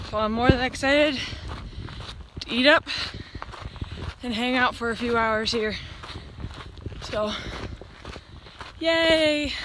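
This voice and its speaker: Speaking with a high pitch and ordinary pitch variation, a woman leaves long, frequent pauses, the sound dry with no echo and the background noise noticeable. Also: fairly slow pace. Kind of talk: casual vlog chat. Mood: cheerful, excited. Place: open country. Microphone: phone near.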